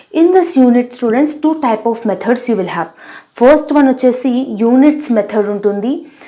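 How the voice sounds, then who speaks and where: Lively intonation in an Indian accent, at a moderate pace, with noticeable background noise. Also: woman. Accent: Indian English, Telugu. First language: Telugu. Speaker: teacher. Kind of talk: tutorial.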